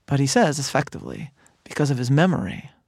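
A man speaks at a moderate pace in a fairly high pitch. The recording is very clean, with a silent background. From Chicago, US Midwest. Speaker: rabbi and author. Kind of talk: interview conversation. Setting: studio, in person.

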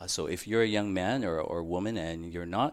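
Talking at a fairly quick pace with an American accent, a man with a plain, everyday voice uses a fairly low pitch and ordinary pitch variation on a very clean recording with a silent background. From San Diego, California. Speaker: priest, vocation director. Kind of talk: interview.

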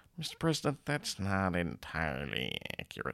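A nasal, put-on male character voice, very deep and low in pitch with very wide pitch swings, at a moderate pace with a dry, close sound and no echo

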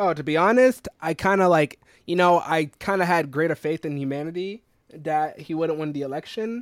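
A man with an American accent uses a normal speaking voice, fairly high in pitch with ordinary variation, at a moderate pace. The recording is very clean with a silent background and a dry, close sound with no echo. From South Carolina. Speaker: podcast co-host, software developer. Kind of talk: casual chat.

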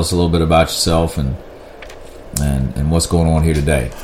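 Over noticeable background noise, a man with a Virginia accent talks at a fairly quick pace in a very deep, low pitch. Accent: Southern US (Virginia). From US South, rural southern Virginia. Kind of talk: casual interview chat.

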